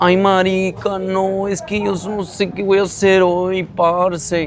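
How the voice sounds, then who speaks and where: In a put-on, whiny character voice with a Medellin accent, a man speaks at a moderate pace in a high pitch and a whiny tone, his intonation monotone and flat, over light background noise. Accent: Colombian, Medellin. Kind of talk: casual slang.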